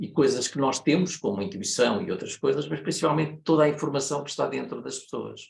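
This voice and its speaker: A man talks with a European Portuguese accent. He leaves hardly any pauses, and his loudness swings a lot. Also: fairly quick pace. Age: 70s. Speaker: consultant and systemic facilitator. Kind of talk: lecture. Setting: online meeting. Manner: hesitant, many fillers.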